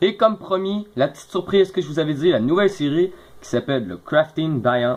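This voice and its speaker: A man with a Quebec accent speaks with very wide pitch swings. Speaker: gaming youtuber. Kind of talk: gameplay commentary. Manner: fast.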